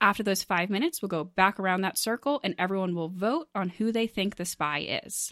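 A woman with an ordinary speaking voice talks at a fairly quick pace, medium in pitch with ordinary pitch variation and hardly any pauses. The recording is very clean with a silent background, dry and close with no echo. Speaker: game show host. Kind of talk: game show hosting, casual banter.

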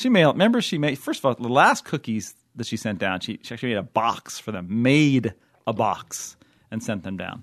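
Animated in tone, a man talks at a fairly quick pace with lively intonation and a medium pitch. The sound is dry and close with no echo, and the background is quiet. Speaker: podcast host and TV critic. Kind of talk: casual chat. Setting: studio.

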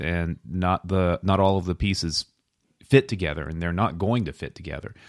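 Recorded very cleanly against a silent background, a man speaks with a very deep, low pitch and ordinary pitch variation. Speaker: podcast co-host. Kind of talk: casual podcast chat.

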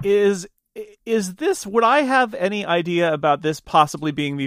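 With lively intonation and a moderate pace, a man speaks in a normal speaking voice. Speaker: player. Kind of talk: tabletop roleplaying game.

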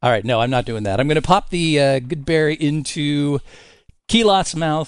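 Against a quiet background, a man with an ordinary speaking voice and fairly high pitch talks at a moderate pace with lively intonation. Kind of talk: tabletop roleplaying game banter. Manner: playful, jokey, laughing.

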